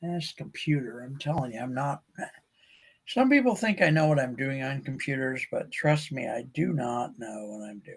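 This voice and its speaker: Somewhat breathy, a man with an American accent speaks at a moderate pace with a fairly high pitch, ordinary pitch variation, and big swings in loudness. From US Midwest, northern Ohio. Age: 70s. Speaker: podcast host. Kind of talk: casual monologue. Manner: rambling, casual with fillers.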